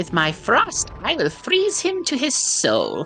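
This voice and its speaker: A put-on character voice, female-sounding and extremely high in pitch, fairly slow, over clear music in the background. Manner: menacing, cold.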